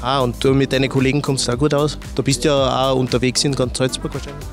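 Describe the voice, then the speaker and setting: A man at a very fast pace, medium in pitch, monotone and flat, with music in the background. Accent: Austrian Bavarian. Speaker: TV presenter. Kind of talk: on-site interview for corporate TV. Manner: friendly, casual.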